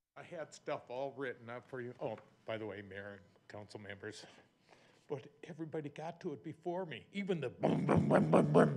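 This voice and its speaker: Speaking at a fairly quick pace, a man with vocal fry and a medium pitch makes very wide pitch swings and big swings in loudness. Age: 70s. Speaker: resident public commenter. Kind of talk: public comment at council meeting. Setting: town council meeting. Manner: animated, halting with repetitions.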